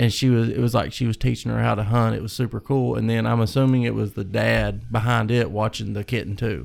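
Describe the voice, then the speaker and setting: Talking very fast, a man with a Kentucky accent races along. He hardly pauses at all. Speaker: hunter. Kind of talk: casual chat.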